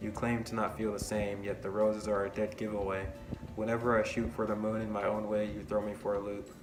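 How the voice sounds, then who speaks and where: Over music in the background, a man with a fairly low pitch speaks at a fairly quick pace in a monotone, flat intonation. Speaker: college student. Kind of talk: poetry reading. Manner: fast.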